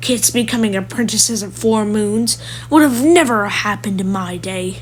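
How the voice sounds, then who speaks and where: Someone growls in a put-on character voice at a fairly high pitch, with clear background noise behind it. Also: moderate pace. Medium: read story. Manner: growling, grumpy.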